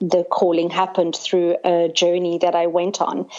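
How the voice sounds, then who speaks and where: With noticeable background noise behind her, a woman speaks in a fairly low pitch with a South African accent. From South Africa, Cape Town. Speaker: sangoma, spiritual healer. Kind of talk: podcast interview.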